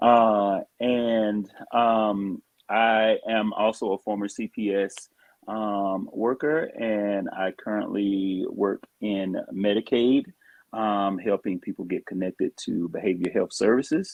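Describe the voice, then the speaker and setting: Speaking in a Southern US accent, this voice moves at a very slow pace. The intonation stays fairly even. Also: man, fairly low pitch for a man. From US South. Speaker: social worker. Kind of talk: casual chat. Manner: halting, many fillers.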